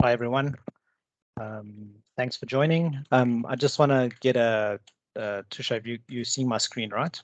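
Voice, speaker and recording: A man with a South African accent, at a fairly slow pace, with fairly even intonation. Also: medium pitch for a man. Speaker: cybersecurity consultant. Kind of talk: webinar presentation. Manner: halting, many fillers.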